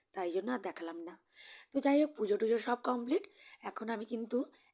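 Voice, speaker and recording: Her voice is fairly high for a woman, yet dark and mellow in tone. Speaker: homemaker vlogger. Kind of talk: daily life vlog narration. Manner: casual, conversational.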